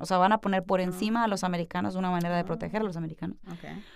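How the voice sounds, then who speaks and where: The recording is very clean, with a silent background. A woman with a medium pitch and ordinary pitch variation uses a normal speaking voice. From Mexico, Culiacán, Sinaloa. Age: young. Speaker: actress, comedian and producer. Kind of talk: interview conversation.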